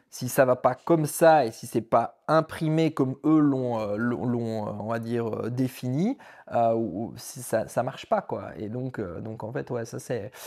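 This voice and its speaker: A man of medium pitch talks at a fairly slow pace with ordinary pitch variation. His loudness swings widely on a very clean recording with a silent background. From Belgium. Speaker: vlogger. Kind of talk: casual chat. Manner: halting.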